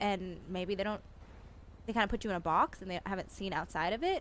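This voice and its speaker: A woman at a medium pitch, talking at a very fast pace. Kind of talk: in-character roleplay chat. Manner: loud, yelling at times.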